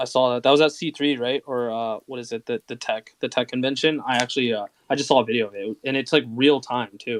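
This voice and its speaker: A man at medium pitch, very fast with hardly any pauses and fairly even intonation, in a dry, close sound with no echo over a quiet background. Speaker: Twitter Spaces co-host. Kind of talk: casual chat. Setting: Twitter Spaces audio call. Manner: slurs words.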